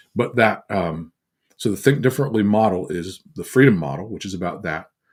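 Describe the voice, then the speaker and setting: A plain, everyday voice moves at a fairly quick pace, with lively intonation and big swings in loudness. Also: man, fairly low pitch for a man. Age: 60s. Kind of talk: teaching talk on a livestream. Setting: livestream on social media.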